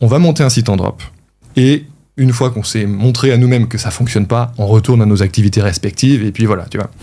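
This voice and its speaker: This man's tone is dark and mellow and somewhat breathy, with a medium pitch. He talks at a fairly quick pace with ordinary pitch variation. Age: 30s. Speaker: e-commerce entrepreneur. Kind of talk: interview. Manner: casual, hesitant with many fillers.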